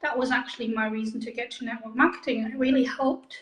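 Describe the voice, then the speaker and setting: A woman speaks in a fairly high voice with monotone, flat intonation. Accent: German. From Germany. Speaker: direct sales makeup consultant. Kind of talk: interview.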